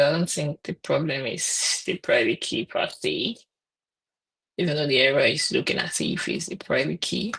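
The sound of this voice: At a fairly slow pace, the voice carries lively intonation, a fairly bright tone, a slightly husky edge and vocal fry.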